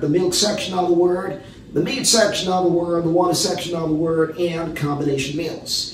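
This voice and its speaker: Audible room echo and light background noise surround a man speaking at a high pitch. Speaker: preacher, Bible teacher. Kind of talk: sermon.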